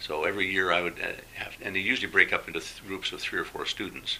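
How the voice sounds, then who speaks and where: A man with a western Canadian accent speaks over noticeable background noise. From Alberta, Canada. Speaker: retired engineering teacher, former volunteer. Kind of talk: interview. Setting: at home.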